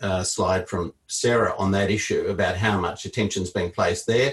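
Somewhat breathy, a man speaks at a moderate pace in a fairly low pitch. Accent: Australian. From Queensland, Australia. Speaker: political strategist. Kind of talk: panel talk.

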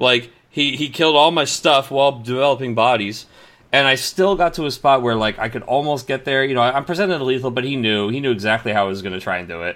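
A man talks at a very fast pace. His pitch is medium, and his intonation is lively. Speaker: podcast host. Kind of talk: casual chat. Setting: video call. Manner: excitable.

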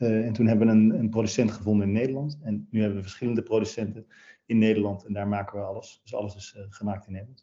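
Very fast and fairly even in intonation, a man with a fairly low pitch talks with big swings in loudness. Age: 40s. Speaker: company founder. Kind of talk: interview. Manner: halting, many fillers and repeats.

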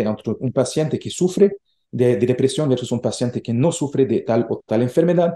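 Over a quiet background, a man speaks at a moderate pace in a fairly high pitch, with a dark, mellow tone and ordinary pitch variation. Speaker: research centre director. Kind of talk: interview. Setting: remote call. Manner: halting.

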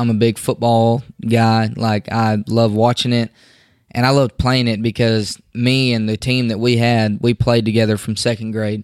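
At a moderate pace, a man of medium pitch speaks in a flat monotone on a very clean recording with a silent background. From Oklahoma and north Texas. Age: 20s. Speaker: bull rider. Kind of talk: casual chat.

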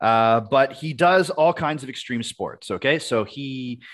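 A man with an ordinary speaking voice, medium pitch, lively intonation and a fairly slow pace. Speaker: podcast co-host. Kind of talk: casual comedic chat. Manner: conversational, joking.

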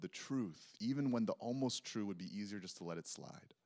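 With an American accent and a normal speaking voice, a man talks at a moderate pace. His pitch is fairly low and his intonation lively. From Texas. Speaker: preacher. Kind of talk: sermon. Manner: casual, conversational.

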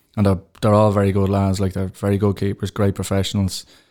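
In a very clean recording with a silent background, a man with a Dublin accent speaks at a fairly quick pace in a fairly low pitch with a dark, mellow tone. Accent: Dublin Irish. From Tallaght, Dublin, Ireland. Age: 30s. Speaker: goalkeeper and teacher. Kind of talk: interview.

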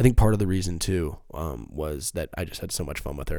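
Very fast and with vocal fry, a man speaks at a very deep, low pitch. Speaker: podcast host. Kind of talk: casual solo monologue. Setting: home recording on laptop.

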